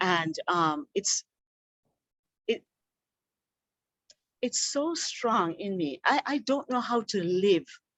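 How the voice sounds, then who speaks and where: A woman talks very slowly, her intonation lively. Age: 60s. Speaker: yoga teacher and community builder. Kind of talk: casual chat.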